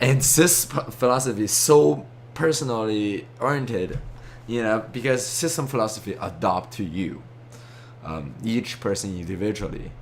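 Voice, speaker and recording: Lively intonation and a moderate pace come through with audible room echo. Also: man, medium pitch for a man. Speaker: amateur philosopher, video lecturer. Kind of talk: monologue lecture. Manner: halting, many fillers and false starts.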